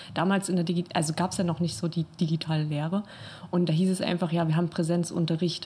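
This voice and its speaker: Her voice somewhat breathy and dark, mellow in tone, a woman races at a very fast pace in a fairly low pitch, with monotone, flat intonation and very even loudness. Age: 20s. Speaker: art school student. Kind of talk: casual chat. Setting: studio.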